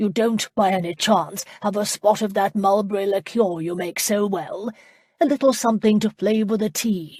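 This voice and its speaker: A put-on character voice, female-sounding, gruff and booming, comes out at a fairly high pitch and a moderate pace. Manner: jovial, hinting for liquor.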